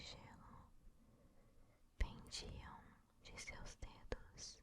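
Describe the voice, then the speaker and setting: Someone whispers at a very slow pace. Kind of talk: ASMR bedtime story reading. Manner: whispered.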